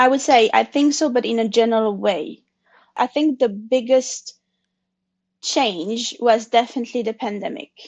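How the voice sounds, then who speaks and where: Against a quiet background, a woman speaks at a fairly high pitch with a French accent. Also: ordinary pitch variation, moderate pace. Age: 40s. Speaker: consultant sharing her story. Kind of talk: interview conversation. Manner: halting.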